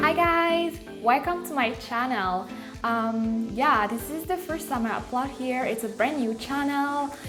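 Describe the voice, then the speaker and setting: Over background music, a woman with a high pitch speaks at a fairly slow pace. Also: ordinary pitch variation. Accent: Malagasy. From Madagascar. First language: Malagasy. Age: 20s. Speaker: beauty vlogger. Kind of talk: makeup tutorial talk to camera. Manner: casual.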